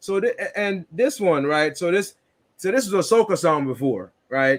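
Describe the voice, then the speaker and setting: At a moderate pace, a man with a slight Jamaican accent talks with lively intonation. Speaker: podcast co-host. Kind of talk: casual chat.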